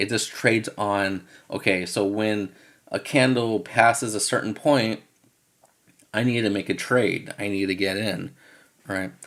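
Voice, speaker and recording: A man's fairly low voice at a fairly slow pace, with fairly even intonation and long, frequent pauses. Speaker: forex trader and webinar host. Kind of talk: webinar presentation. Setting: live webinar with screen share. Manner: casual, filler-heavy.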